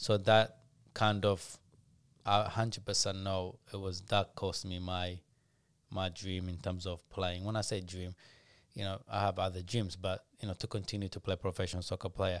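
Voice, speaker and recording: On a very clean recording with a silent background, a man with a very deep, low pitch talks at a moderate pace in a monotone, flat intonation. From Ethiopia. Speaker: former professional footballer and youth program founder. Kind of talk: casual interview chat. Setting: studio.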